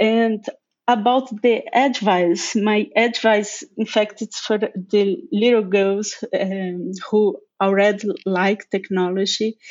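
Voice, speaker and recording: A woman speaks with a Portuguese accent at a fairly high pitch. Her pace is very slow. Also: ordinary pitch variation. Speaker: technical lead. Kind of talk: casual chat. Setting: remote call.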